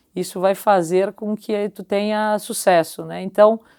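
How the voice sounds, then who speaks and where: With a southern Brazilian accent, a woman speaks at a fairly slow pace in a very clean, dry, close recording with no echo and a silent background. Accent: gaúcho Brazilian Portuguese. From southern Brazil, Caxias do Sul (Rio Grande do Sul). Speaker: company executive. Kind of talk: interview conversation.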